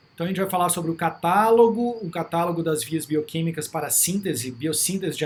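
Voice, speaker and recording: A man with a Minas Gerais accent speaks in a high pitch. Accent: Minas Gerais Brazilian Portuguese. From Brazil, Minas Gerais. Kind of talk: lecture. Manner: casual, with frequent fillers.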